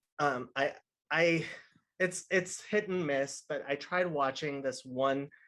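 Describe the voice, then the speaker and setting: A fairly high-pitched male voice at a very slow pace, with fairly even intonation. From outside US, immigrated as a child. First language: not English (English is third language). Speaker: podcast guest. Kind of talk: casual chat.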